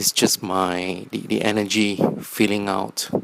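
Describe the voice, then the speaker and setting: A man's fairly low voice, very slow in pace, in a dry, close sound with no echo. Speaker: vlogger. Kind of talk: personal video diary. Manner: halting, many fillers.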